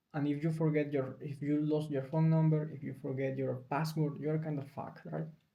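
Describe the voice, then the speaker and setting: A somewhat breathy man speaks at a moderate pace in a fairly high pitch. His intonation is monotone and flat, with audible room echo. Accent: non-native. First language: Spanish. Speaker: video blogger. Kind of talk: casual talk to camera. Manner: halting, with self-corrections.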